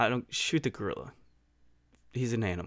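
Recorded very cleanly with a silent background, a man speaks at a moderate pace with ordinary pitch variation. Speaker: podcast host, former military contractor. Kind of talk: casual solo podcast monologue. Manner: halting, many fillers and repeated words.

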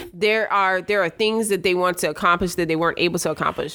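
Music plays in the background. The speaker has an American accent and a flat, monotone delivery. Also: woman. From Brooklyn, New York. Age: 40s. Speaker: state legislator. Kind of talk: casual interview chat.

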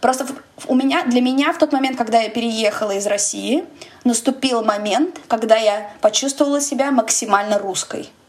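A woman with a high pitch and ordinary pitch variation speaks at a moderate pace amid noticeable background noise. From Russia. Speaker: podcast host. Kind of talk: casual chat.

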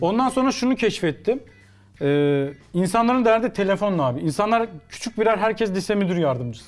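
A man with a high voice and very wide swings in pitch. He talks at a fairly quick pace. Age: 30s. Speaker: sports commentator. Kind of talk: casual chat.

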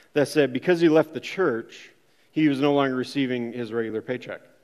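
A man speaks with an Upper Midwest accent and a fairly high pitch. His intonation stays fairly even. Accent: Upper Midwest American. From Minnesota. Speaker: church member sharing testimony. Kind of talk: testimony.

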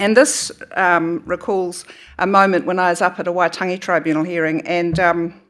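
Speech comes with a New Zealand accent at a moderate pace and with ordinary pitch variation. The recording is very clean, with a silent background. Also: woman. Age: 60s. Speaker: author and academic. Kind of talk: talk at a book festival. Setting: stage with audience.

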